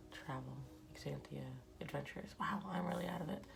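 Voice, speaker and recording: A woman speaks with audible room echo and music in the background. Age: 40s. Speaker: artist and vlogger. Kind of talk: casual chat while drawing. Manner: rambling, hesitant; whispering, quiet.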